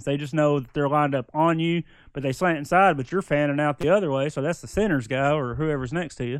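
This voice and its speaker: Against a quiet background, a man talks in a normal speaking voice. His pitch is fairly high. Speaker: podcast guest. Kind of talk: casual chat.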